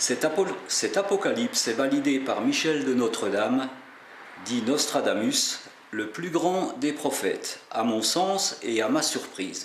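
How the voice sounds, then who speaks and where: Against noticeable background noise and audible room echo, a man speaks very slowly in a fairly high voice with very wide pitch swings. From Alsace, France. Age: 60s. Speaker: pilgrim and religious video maker. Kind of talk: scripted narration. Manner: formal.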